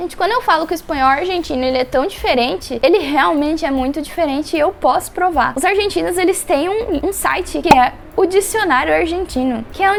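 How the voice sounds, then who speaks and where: Noticeable background noise sits behind a woman with a São Paulo accent. Her pitch is extremely high and her intonation lively. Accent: Brazilian Portuguese, São Paulo. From São Paulo, Brazil. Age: 20s. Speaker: medical student. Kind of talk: casual talk to camera.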